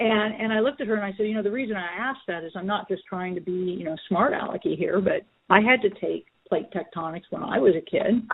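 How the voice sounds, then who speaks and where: Using ordinary pitch variation, a woman talks at a very fast pace. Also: medium pitch for a woman. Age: 60s. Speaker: special education lawyer. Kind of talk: interview.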